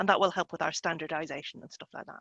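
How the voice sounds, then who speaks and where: A woman's bright, sharp tone in a dry, close sound with no echo. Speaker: journal editor. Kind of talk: panel discussion. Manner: fast.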